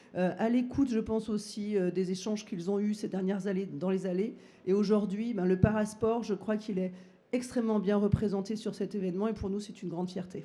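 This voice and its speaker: A woman speaks at a fairly quick pace and medium pitch. Her intonation is monotone and flat. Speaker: trade show director. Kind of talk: ceremony speech. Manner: hesitant, many fillers.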